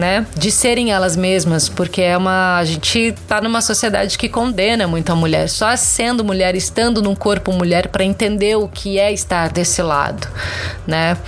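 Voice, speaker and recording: A woman's medium-pitched voice at a moderate pace, with ordinary pitch variation, very even loudness, audible room echo and noticeable background noise. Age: 30s. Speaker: social media content creator. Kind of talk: interview.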